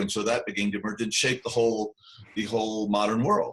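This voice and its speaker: Using a plain, everyday voice with an American accent, a man speaks at a fairly quick pace and a fairly low pitch with fairly even intonation. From US South. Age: 60s. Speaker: podcast host. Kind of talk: casual talk on a podcast.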